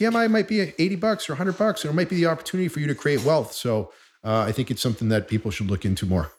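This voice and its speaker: Very fast, somewhat breathy speech with very wide pitch swings and an American accent. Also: man. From Boston, Massachusetts. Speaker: mortgage loan originator. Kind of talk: casual interview chat.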